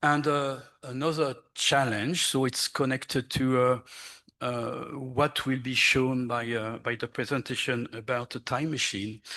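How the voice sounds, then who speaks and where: In a French accent, a man speaks fairly slowly at a medium pitch, his tone bright and sharp and his intonation fairly even, against a quiet background. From France. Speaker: archaeologist. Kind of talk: conference panel presentation. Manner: halting, many fillers.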